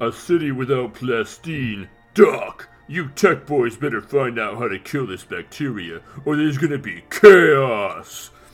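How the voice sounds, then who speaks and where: A man's put-on character voice at medium pitch, with faint music in the background. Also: fairly slow pace. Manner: gruff, masculine.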